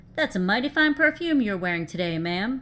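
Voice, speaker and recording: Putting on a character voice, a woman speaks fairly quickly at a fairly high pitch with very wide swings. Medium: read story. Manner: easygoing and gallant.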